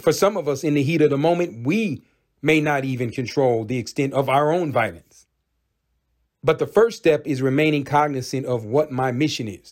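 On a very clean recording with a silent background, a man with an unremarkable speaking voice talks at a fairly high pitch and a moderate pace, with ordinary pitch variation. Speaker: podcast host. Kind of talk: opinion monologue, angry rant. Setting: solo podcast recording. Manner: intense, heated, blunt and profane.

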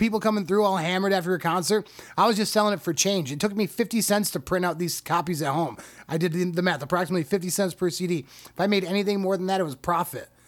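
On a very clean recording with a silent background, a man talks at a very fast pace in a high voice with ordinary pitch variation. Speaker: stand-up comedian and rapper. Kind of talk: casual chat. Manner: joking.

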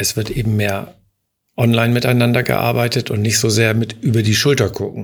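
A man speaks with a fairly low pitch and a somewhat breathy sound. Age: 60s. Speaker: insurance executive. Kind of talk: interview.

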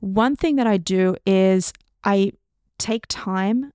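With an Australian accent, a woman at medium pitch is heard in a very clean recording with a silent background and a dry, close sound with no echo. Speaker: neuroscientist. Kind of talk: casual interview.

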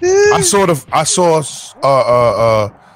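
A man is speaking. Background noise is noticeable. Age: 50s. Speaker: gaming stream co-host. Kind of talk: casual chat. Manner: animated.

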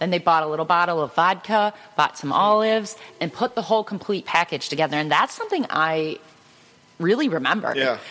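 Noticeable background noise sits behind this woman's voice. Her pitch is fairly low and her intonation lively. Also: fairly quick pace. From Cleveland, Ohio, US Midwest. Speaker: photographer, custom gift maker. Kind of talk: casual chat. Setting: studio. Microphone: too far from the mic.

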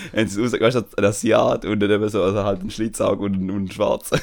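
A man's fairly low voice at a fairly quick pace. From Switzerland, Tamil family. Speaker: podcast co-host. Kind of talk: casual chat.

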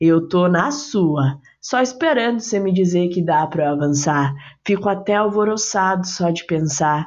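At a fairly slow pace, a woman speaks at medium pitch with very even loudness. Her tone is animated and playful, with lively intonation. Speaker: poet performing own poem. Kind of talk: spoken-word poetry, intimate love poem addressed to a 'you'. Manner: animated, playful, rhythmic with rhyme, affectionate and coaxing.

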